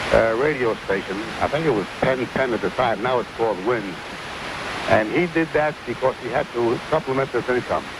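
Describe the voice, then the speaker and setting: Against noticeable background noise, the speaker talks at a moderate pace with ordinary pitch variation in a New York accent. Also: man, medium pitch for a man. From New York City (Brooklyn). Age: 70s. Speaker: caller, war veteran. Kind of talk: phone-in radio chat. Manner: repetitive, halting.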